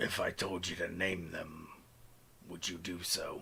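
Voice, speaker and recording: A man's raspy, put-on character voice over clear background noise. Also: fairly slow pace. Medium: actual play. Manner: cold, clipped, emotionless.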